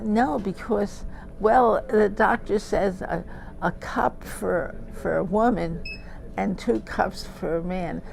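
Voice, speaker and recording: The speech unfolds at a very slow pace, with noticeable background noise underneath. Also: woman. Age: 80s+. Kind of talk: interview answer. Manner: animated, chatty.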